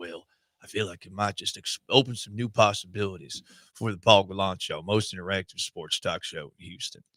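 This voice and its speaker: A man puts on a gravelly character voice in a Texan accent, pitched fairly low. He talks at a fairly quick pace with fairly even intonation. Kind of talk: sports talk radio host.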